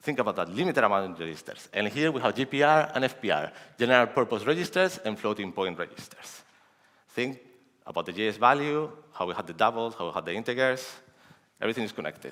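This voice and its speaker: Speaking very fast, a man has a medium pitch and a bright, sharp tone. His pitch swings very widely. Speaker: security researcher. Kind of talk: conference talk.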